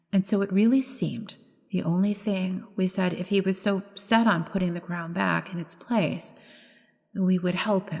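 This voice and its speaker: Somewhat breathy, a woman talks at a moderate pace and medium pitch with fairly even intonation. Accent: American. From United States. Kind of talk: ghost story reading. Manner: straight reading, characters voiced slightly differently.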